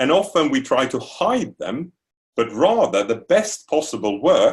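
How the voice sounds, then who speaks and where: A man speaks in a Swedish accent at a fairly slow pace. His voice is somewhat breathy. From Sweden. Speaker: university lecturer. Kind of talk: lecture.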